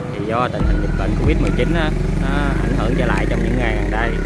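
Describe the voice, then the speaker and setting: A man talks at a very fast pace with music in the background. The sound is dry, with no echo. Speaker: vlogger. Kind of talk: casual vlog chat. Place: market. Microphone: phone near.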